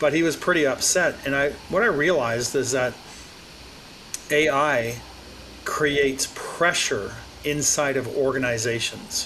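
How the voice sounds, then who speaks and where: A man with a fairly high pitch talks at a fairly slow pace with ordinary pitch variation and very even loudness. He leaves long, frequent pauses, and there is noticeable background noise. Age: 60s. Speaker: AI business consultant. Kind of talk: interview conversation.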